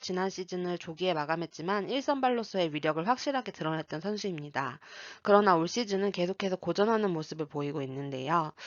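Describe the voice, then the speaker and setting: A woman talks at a fairly quick pace in a normal speaking voice of medium pitch, with lively intonation. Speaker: sports betting analyst. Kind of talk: scripted sports analysis narration.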